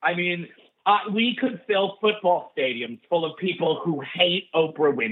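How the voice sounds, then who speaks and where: Speaking with a New York accent, a man talks at a fairly slow pace. His pitch is high. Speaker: stand-up comedian and comedy writer. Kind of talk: casual chat.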